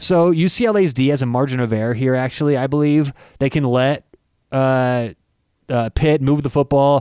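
At a moderate pace and medium pitch, a man uses a normal speaking voice with ordinary pitch variation and very even loudness. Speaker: podcast host. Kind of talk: casual chat.

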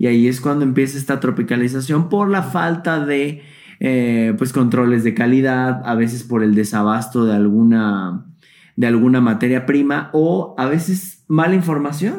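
The speaker has a Mexican accent and lively intonation. The pace is moderate. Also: man, medium pitch for a man. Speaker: YouTuber and vintage toy collector. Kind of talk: casual interview chat.

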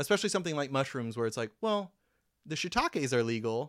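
Recorded very cleanly against a silent background, a man with an American accent uses a normal speaking voice, a fairly high pitch for a man, and lively intonation. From US Midwest, mostly Columbia, Missouri. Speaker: neighborhood mapmaker and local enthusiast. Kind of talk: casual chat. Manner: laughs often.

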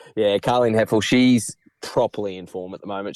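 In an Australian accent, a man speaks at a fairly low pitch, with a dry, close sound with no echo on a very clean recording against a silent background. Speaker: horse racing tipster. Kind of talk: casual chat.

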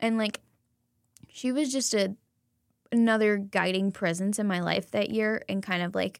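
With an ordinary speaking voice, a woman talks at a moderate pace using ordinary pitch variation. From US South. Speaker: podcast co-host, education student. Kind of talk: casual chat.

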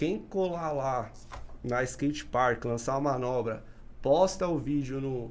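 Audible room echo surrounds a man speaking at a very slow pace in a medium pitch with ordinary pitch variation. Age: 30s. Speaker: podcast host. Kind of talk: casual chat.

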